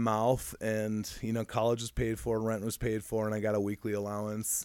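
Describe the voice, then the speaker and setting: Speaking with an American accent at a moderate pace, the voice comes through on a very clean recording with a silent background. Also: man. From Michigan. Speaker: recovering addict. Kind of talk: casual interview.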